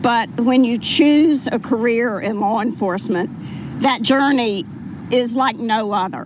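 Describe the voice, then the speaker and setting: A woman's fairly high voice moves at a fairly slow pace, its pitch varying in an ordinary way, with noticeable background noise. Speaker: mother of fallen police officer. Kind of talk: memorial speech. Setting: public ceremony with microphone.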